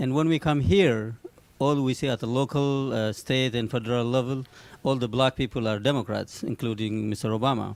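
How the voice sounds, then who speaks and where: A man speaks with a strong non-native accent at a fairly quick pace. His pitch is medium with ordinary variation. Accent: heavy foreign. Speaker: audience member asking a question. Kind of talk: audience question. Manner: halting.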